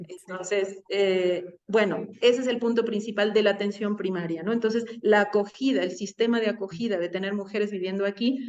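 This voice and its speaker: A woman at a medium pitch and moderate pace, with fairly even intonation and hardly any pauses. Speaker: midwifery and birth care worker. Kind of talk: interview.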